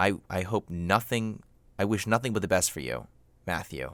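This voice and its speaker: A man speaks at a moderate pace with a fairly low pitch and vocal fry. His intonation is lively. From Florida, US (born in New York). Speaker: comedy podcast host. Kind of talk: comedic skit, mock phone-in interview. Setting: home recording in a closet.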